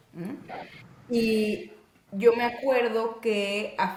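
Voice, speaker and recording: Noticeable background noise and audible room echo fill the recording. Through them, a woman talks. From Mexico, Monterrey. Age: 30s. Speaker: physician and interviewee. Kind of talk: interview.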